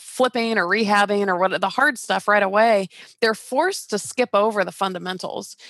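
A woman with an unremarkable speaking voice talks at a moderate pace and medium pitch with ordinary pitch variation, the sound dry and close with no echo over a quiet background. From US South, Georgia (Atlanta). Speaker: real estate investor and coach. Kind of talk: casual interview.

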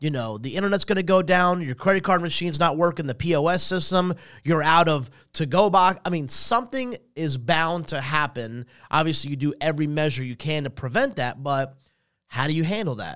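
A man with an American accent, fairly high-pitched and lively in intonation, at a fairly quick pace, on a very clean recording with a silent background. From North Carolina (Salisbury). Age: 30s. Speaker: podcast host. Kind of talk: casual interview.

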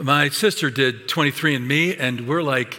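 The man's voice sits at a fairly high pitch. His pitch variation is ordinary. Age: 60s. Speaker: pastor. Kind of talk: sermon.

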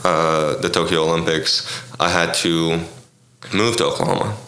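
At a fairly slow pace, a man talks in a very deep, low voice over noticeable background noise. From Egypt. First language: Arabic. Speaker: Olympic swimmer. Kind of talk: interview.

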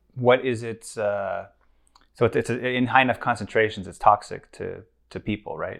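In a plain, everyday voice, the speaker goes at a moderate pace with fairly even intonation but big swings in loudness. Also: man, medium pitch for a man. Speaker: engineering lecturer, podcast host. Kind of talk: interview. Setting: office.

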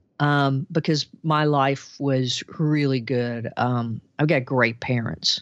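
Against a quiet background, a woman with an American accent and a very deep, low pitch speaks very slowly with hardly any pauses, ordinary pitch variation and very even loudness. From Arkansas, US South (Little Rock). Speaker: podcast host, former TV broadcaster. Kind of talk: casual interview testimony.

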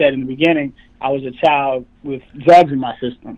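At a moderate pace, a man delivers his words in a fairly high pitch with monotone, flat intonation. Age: 20s. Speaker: internet personality telling his life story. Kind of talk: interview.

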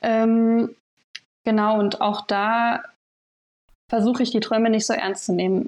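A woman speaks at a fairly high pitch and a fairly slow pace, with long, frequent pauses. Her intonation is monotone and flat, her loudness very even. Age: 20s. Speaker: person with OCD sharing her story. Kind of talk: interview testimony. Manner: hesitant, many fillers.

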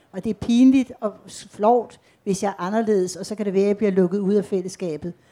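A woman speaks at a moderate pace in a dark, mellow tone. Her intonation stays fairly even. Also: medium pitch for a woman. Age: 70s. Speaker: psychotherapist, moderator. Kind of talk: panel moderation. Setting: tent stage with audience.

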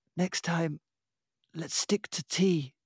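Putting on a character voice, a man speaks in a wheezy, high voice with a dry, close sound and no echo. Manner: wheezing, wry, final words.

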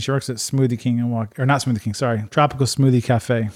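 In a very clean recording with a silent background, a man with a Midwestern American accent talks very fast with fairly even intonation. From Iowa, Urbandale. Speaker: state legislator. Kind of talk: casual chat. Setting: host's living room.

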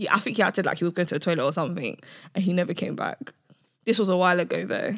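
A woman speaks at a very fast pace with an animated tone and vocal fry. Her pitch is fairly low, with ordinary pitch variation. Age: 20s. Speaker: podcast co-host. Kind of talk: casual chat.

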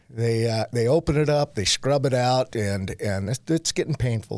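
A man talks at a moderate pace and a medium pitch, with ordinary pitch variation. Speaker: treatment center founder in recovery. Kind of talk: personal recovery story. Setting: studio. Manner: halting.

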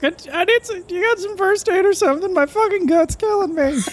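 The voice sits at an extremely high pitch and moves at a moderate pace. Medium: actual play. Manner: angry, profane, snapping.

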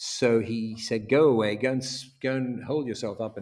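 On a very clean recording with a silent background, a man speaks with a slight British accent. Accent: slight British-tinged. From Tanzania. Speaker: business coach and former CEO. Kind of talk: casual interview chat.

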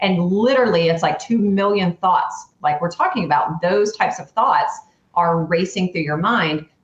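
A woman speaks in a normal speaking voice at a moderate pace, with medium pitch and ordinary pitch variation. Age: 40s. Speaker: business coach. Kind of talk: interview.

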